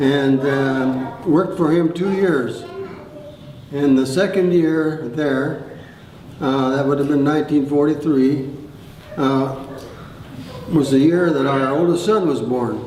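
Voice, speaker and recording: A man speaks at a very slow pace with long, frequent pauses and a fairly high pitch, his intonation fairly even. Audible room echo and noticeable background noise surround him. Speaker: retired farmer telling life story. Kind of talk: oral history storytelling. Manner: halting, many fillers.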